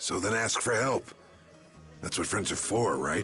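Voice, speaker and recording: Over clear background music, a man puts on a raspy character voice at medium pitch, speaking at a moderate pace. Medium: cartoon. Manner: gruff, commanding.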